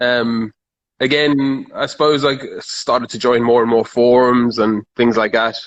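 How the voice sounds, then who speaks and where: In a South African accent, a man speaks at a medium pitch and a fairly slow pace with monotone, flat intonation. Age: 30s. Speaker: car enthusiast. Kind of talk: casual chat.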